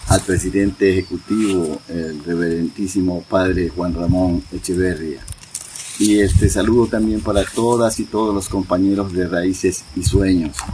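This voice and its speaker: The man's voice sits very deep and low. There is noticeable background noise. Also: fairly even intonation. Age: 70s. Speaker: community elder. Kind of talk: oral history interview.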